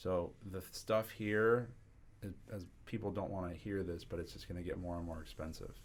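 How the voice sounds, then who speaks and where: A man with a very deep, low pitch and an American accent, moderate pace, fairly even intonation, and audible room echo. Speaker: commercial real estate broker. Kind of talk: podcast interview.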